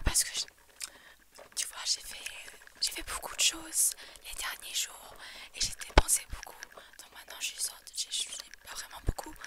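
Whispering in a relaxed tone at a fairly slow pace, a woman leaves long, frequent pauses, and her loudness swings widely. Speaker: ASMR creator. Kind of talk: casual talk to camera. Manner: whispered, relaxed. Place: home room. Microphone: earbuds.

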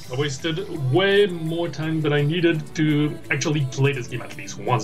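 Clear music plays behind a man with fairly high pitch. He speaks at a fairly slow pace with lively intonation. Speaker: gamer and streamer. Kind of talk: casual gameplay commentary. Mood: proud, relaxed. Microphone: webcam.

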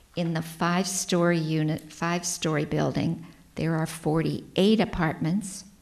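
At a fairly slow pace, a woman with an American accent speaks in a fairly low pitch with monotone, flat intonation. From US Midwest. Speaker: council presenter. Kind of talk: formal presentation at council meeting. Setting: council chamber. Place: meeting room. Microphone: podium.

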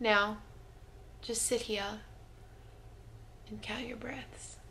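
There is light background noise. A woman talks with an Australian accent. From Brisbane, Australia. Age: young. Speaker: vlogger. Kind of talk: guided mindfulness exercise. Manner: relaxed. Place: home room. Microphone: camera far.

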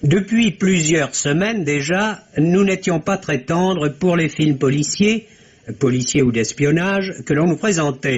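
A man with a fairly high pitch and ordinary pitch variation speaks at a very slow pace, his loudness very even. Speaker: film critic. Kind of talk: radio film review, read aloud. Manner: formal, measured, literate. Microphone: old recording.

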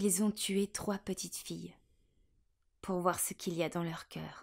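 A woman speaks at a very slow pace with monotone, flat intonation. The recording is very clean, with a silent background. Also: medium pitch for a woman. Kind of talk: poetry reading. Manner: whispered.

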